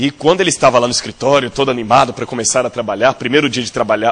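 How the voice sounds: His medium-pitched voice shows ordinary pitch variation as the man speaks.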